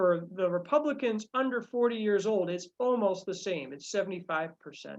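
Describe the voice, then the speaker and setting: With lively intonation, a woman talks at a medium pitch. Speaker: climate policy workshop presenter. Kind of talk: presentation. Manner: fast; halting, many fillers.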